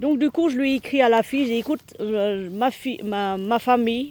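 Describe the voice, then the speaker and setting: Her pitch is fairly high for a woman. The variation in it is ordinary. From Vietnam. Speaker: lifestyle vlogger. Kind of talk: casual vlog chat. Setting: outdoors in garden. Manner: halting, many fillers.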